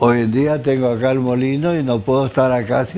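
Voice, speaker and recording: A medium-pitched man with an Argentine accent, music in the background. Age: 80s+. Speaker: engineer, former Olympic athlete. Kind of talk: interview answer.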